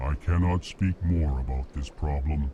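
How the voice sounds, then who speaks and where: Using a put-on character voice with a very deep, low pitch, a man speaks at a moderate pace against clear background noise. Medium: video game. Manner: flat monotone, prefaces lines with emotion labels.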